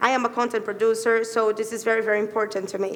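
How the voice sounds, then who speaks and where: With audible room echo, a woman speaks at a fairly high pitch. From Latin America. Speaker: tech workshop presenter, content producer. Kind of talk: conference workshop presentation. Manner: halting, many fillers.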